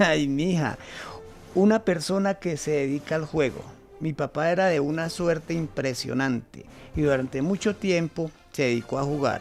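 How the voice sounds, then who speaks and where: A man at a fairly high pitch with ordinary pitch variation and a moderate pace, music in the background. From Colombia. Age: old. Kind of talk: radio drama.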